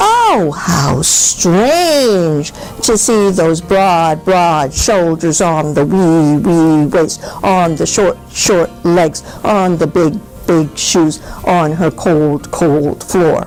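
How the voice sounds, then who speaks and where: Clear music plays behind a woman doing a put-on character voice. She talks very slowly at a fairly low pitch. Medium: read story. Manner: repetitive, wondering.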